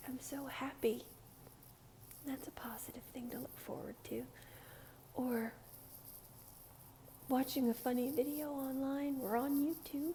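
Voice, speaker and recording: A soft-spoken woman talks at a fairly slow pace with long, frequent pauses and a high pitch. Her tone is calm and relaxed, her intonation monotone and flat. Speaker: ASMR creator. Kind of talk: casual soft-spoken ramble to camera. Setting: recorded at home with street noise outside. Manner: soft-spoken, calm, relaxed.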